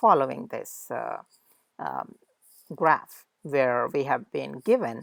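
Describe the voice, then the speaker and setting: A woman with a non-native accent speaks very slowly in a dry, close sound with no echo. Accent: non-native English pronunciation. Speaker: lecturer. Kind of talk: lecture. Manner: halting, many fillers.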